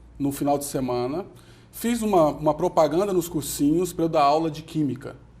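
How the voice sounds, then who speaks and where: With a Goiás accent, a man speaks in a fairly high voice with ordinary pitch variation. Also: moderate pace. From Brazil, Goiânia (Goiás). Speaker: entrepreneur and company founder. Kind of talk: TV interview.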